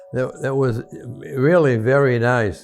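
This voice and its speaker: With music playing in the background, a man speaks at a medium pitch. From Maine, United States. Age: 80s+. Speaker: retired doctor and navy veteran. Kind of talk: interview answer.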